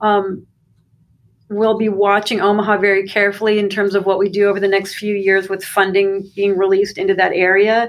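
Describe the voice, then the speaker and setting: A woman's medium-pitched voice in an American accent, monotone and flat, fairly quick, with very even loudness. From Arizona, US (Phoenix). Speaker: graduate student and university employee. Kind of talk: interview.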